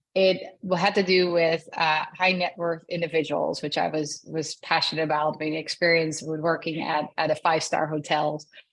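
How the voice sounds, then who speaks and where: With a slight Dutch accent, a woman talks at a moderate pace in a fairly low, monotone, flat voice, with hardly any pauses. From Netherlands. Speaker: customer success director. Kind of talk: interview.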